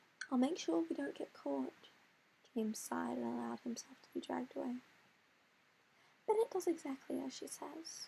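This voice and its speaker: A soft-spoken woman talks with long, frequent pauses. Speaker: amateur writer. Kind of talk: reading aloud. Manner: halting. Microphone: quiet recording.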